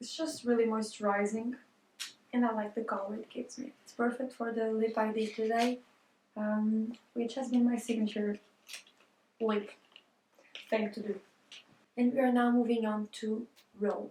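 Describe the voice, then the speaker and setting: Quiet and monotone, a woman with a fairly high pitch talks at a moderate pace with long, frequent pauses and big swings in loudness. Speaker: vlogger. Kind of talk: casual vlog talk. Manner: talking quietly.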